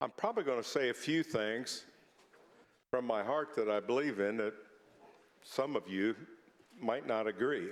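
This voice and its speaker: With a Midwestern US accent, a man speaks at a medium pitch and moderate pace, with ordinary pitch variation. His loudness is very even, and he takes long, frequent pauses. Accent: US Midwest. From Indiana, Lafayette. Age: 60s. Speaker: state senator. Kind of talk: legislative floor speech. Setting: senate chamber.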